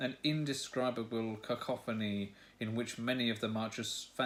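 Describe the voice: Fairly even intonation in plain reading aloud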